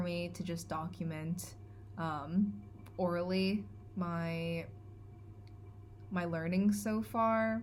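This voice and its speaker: A woman's somewhat breathy, fairly low voice carries audible room echo. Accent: Californian. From California. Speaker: vlogger. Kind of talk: vlog monologue. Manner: hesitant, many fillers.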